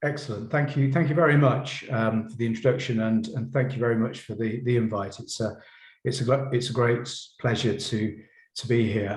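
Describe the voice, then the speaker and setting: A man talks at a fairly quick pace and medium pitch, somewhat breathy. His intonation stays fairly even, with audible room echo. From Poland. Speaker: professor. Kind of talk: lecture. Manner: halting, many repetitions.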